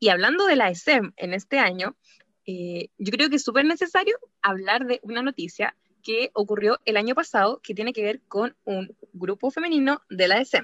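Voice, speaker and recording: Lively intonation marks this woman's fairly high-pitched speech at a moderate pace. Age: 20s. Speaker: podcast co-host. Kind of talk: casual chat.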